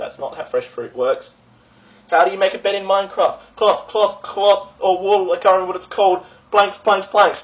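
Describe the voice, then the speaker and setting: With light background noise behind him, a man talks in an Australian accent. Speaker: vlogger. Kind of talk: casual vlog. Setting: friend's apartment. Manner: fast; animated. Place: home room. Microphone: webcam.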